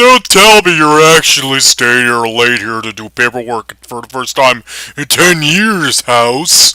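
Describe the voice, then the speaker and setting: Using a put-on character voice, a man speaks fairly slowly with big swings in loudness, the sound dry and close with no echo. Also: medium pitch for a man, lively intonation. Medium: read story.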